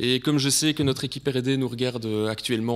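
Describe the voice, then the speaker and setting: A man with a Belgian accent talks at a very fast pace with fairly even intonation, recorded very cleanly against a silent background. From Belgium. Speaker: sales director presenting at a conference. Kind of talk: conference presentation. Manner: hesitant, many filler sounds.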